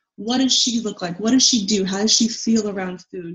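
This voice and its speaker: This woman has an unremarkable speaking voice, fairly high in pitch with ordinary pitch variation. Her pace is fairly quick. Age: 20s. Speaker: dietitian and podcast host. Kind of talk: interview.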